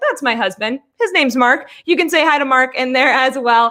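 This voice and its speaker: A woman's raised, projected voice, high-pitched with a bright, sharp tone, at a very fast pace and with ordinary pitch variation. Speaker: online business coach. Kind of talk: live webinar class. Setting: livestream. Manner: animated.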